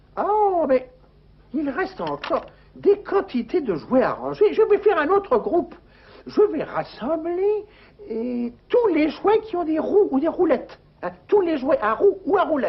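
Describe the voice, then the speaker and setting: A cartoonish character voice, extremely high-pitched, at a moderate pace with long, frequent pauses. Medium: puppet show. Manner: chatty, playful.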